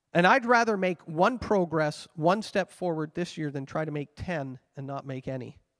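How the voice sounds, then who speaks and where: In an unremarkable speaking voice with a Canadian accent, a man speaks at a fairly high pitch and a moderate pace, with lively intonation, big swings in loudness and hardly any pauses, the sound dry and close with no echo against a quiet background. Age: 50s. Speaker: pastor. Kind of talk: sermon. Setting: church.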